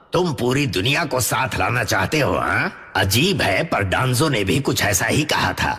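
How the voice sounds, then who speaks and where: At a moderate pace and medium pitch, a man performs in a put-on character voice. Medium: fan dub. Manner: measured, skeptical.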